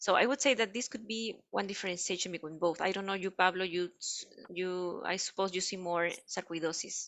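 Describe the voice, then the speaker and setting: A woman with a Spanish accent speaks at a fairly quick pace. Her medium pitch shows ordinary variation. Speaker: pediatric radiologist. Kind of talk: panel Q&A discussion. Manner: halting.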